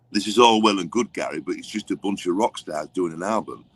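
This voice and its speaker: Recorded with a dry, close sound and no echo, a man with an English accent speaks at a fairly quick pace, his pitch fairly low with ordinary variation. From England. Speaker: songwriter and record producer. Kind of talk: interview.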